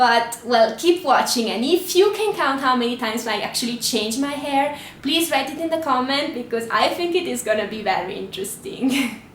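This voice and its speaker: A high-pitched woman with an Italian accent and lively intonation, at a moderate pace with hardly any pauses, amid noticeable background noise and audible room echo. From Italy. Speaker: travel vlogger. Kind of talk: casual vlog monologue.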